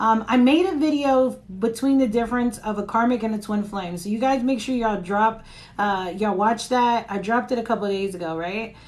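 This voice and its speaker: Ordinary pitch variation at a fairly quick pace, with audible room echo. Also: woman. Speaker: tarot reader. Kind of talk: live tarot reading stream. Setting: live stream. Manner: casual, chatty.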